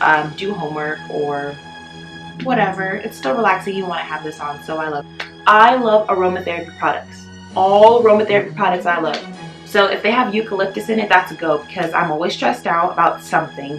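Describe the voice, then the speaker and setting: Clear music plays in the background as a woman talks at a fairly quick pace and fairly low pitch with ordinary pitch variation. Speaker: lifestyle vlogger. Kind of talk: casual vlog chat.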